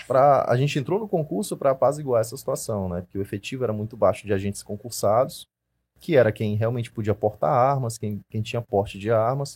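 A man speaks at a medium pitch, his voice somewhat breathy. His intonation is lively. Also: very clean recording, silent background. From Maranhão, Brazil (Imperatriz). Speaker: firearms instructor and police investigator. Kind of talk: casual interview chat.

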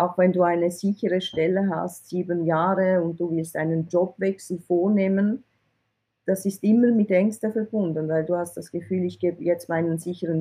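A plain, everyday voice: a woman with a fairly low pitch, a moderate pace, and ordinary pitch variation. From Switzerland (from Iran, arrived at age eight). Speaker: IT recruiter, entrepreneur. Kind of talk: interview.

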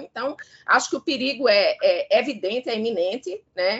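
A woman at a fairly slow pace. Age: 50s. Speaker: law professor. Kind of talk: live radio discussion. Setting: live radio broadcast. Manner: halting, many fillers.

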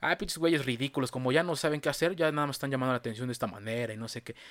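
In a very clean recording with a silent background, a man speaks. His pitch is fairly high, with ordinary variation. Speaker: podcast host. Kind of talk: casual chat.

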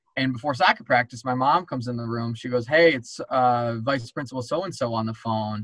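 A man with a mid-range pitch talks at a middling tempo, his pitch moving up and down in a normal way. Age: 30s. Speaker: attorney. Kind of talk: casual chat. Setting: video call.

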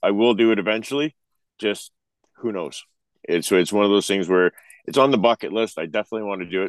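Delivered at a very fast pace with an Ontario accent, the speech has ordinary pitch variation and long, frequent pauses. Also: man, fairly low pitch for a man. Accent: Canadian (Ontario). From Ontario, Canada. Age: 40s. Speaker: truck driver. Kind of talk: casual chat.

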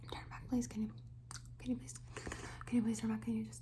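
The voice has a playful tone. Noticeable background noise runs behind it. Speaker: ASMR creator role-playing a makeup artist. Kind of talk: asmr roleplay, whispered makeup-artist role-play addressed to an imagined client.

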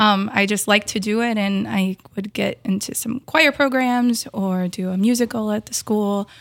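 This woman has an ordinary speaking voice with an American accent, fairly high in pitch and fairly even in intonation. She speaks at a moderate pace on a very clean recording with a silent background. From Brainerd Lakes area, Minnesota. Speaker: store employee and event organizer. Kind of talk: casual interview. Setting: in the store.

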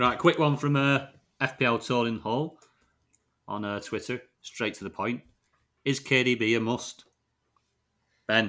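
This man has a northern English accent and a medium-pitched, bright, sharp voice with fairly even intonation. He speaks very slowly, with long, frequent pauses, on a very clean recording over a silent background. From northern England. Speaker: fantasy football podcast host. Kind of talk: casual chat.

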